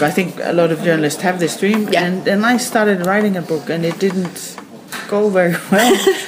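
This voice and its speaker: A woman with a Danish accent talks at a moderate pace in a medium pitch with ordinary pitch variation, with audible room echo and noticeable background noise. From Denmark. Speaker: crime novelist. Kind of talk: radio interview.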